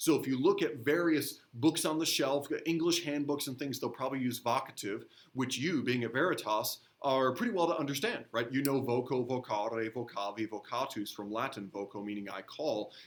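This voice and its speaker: This man has an unremarkable speaking voice. He speaks at a moderate pace with ordinary pitch variation. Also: medium pitch for a man. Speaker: middle school teacher. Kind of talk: recorded grammar lesson. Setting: recorded video lesson.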